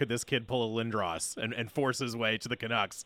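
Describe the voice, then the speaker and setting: A man with a plain, everyday voice, medium pitch and a fairly quick pace. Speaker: radio host. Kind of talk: casual chat. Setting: studio. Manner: joking, banter.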